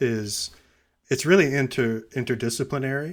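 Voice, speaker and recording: A man speaks with an ordinary speaking voice at a medium pitch. His pace is moderate. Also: very clean recording, silent background. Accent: American. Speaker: gerrymandering scientist. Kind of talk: interview discussion.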